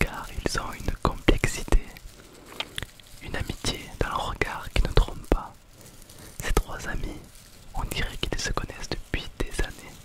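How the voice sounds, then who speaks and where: Soft-spoken whispering at a fairly slow pace, broken by long, frequent pauses. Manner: soft ASMR whisper, storytelling. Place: forest. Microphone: camera far.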